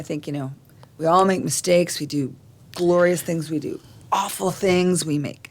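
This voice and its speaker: This woman has a plain, everyday voice with a fairly low pitch. She speaks at a moderate pace. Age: 60s. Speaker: nonprofit executive director. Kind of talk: casual chat.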